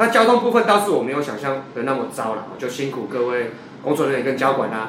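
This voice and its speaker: A man speaks with lively intonation. There is audible room echo along with noticeable background noise. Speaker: baseball podcast co-host. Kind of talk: casual chat.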